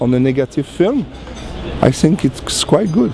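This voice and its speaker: The speaker has a French accent and a moderate pace. Noticeable background noise is present. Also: man. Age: 40s. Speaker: cinematographer. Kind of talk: interview. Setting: trade show pavilion. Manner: halting.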